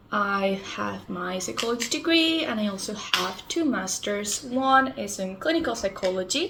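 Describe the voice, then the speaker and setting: A woman's fairly slow speech with very wide pitch swings, over noticeable background noise. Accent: Spanish. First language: Spanish. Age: 20s. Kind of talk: casual vlog talk.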